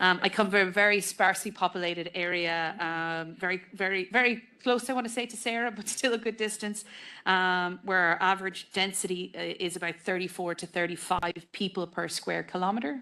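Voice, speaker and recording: Fairly quick, fairly even speech from a woman at medium pitch, in a western Irish accent, against a quiet background. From west of Ireland. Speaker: politician. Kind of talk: panel discussion speech. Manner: hesitant, many fillers.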